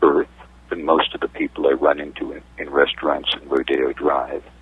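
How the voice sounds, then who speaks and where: Through noticeable background noise, a man speaks with an American accent. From New York City. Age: 60s. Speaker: media consultant. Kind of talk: interview. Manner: halting.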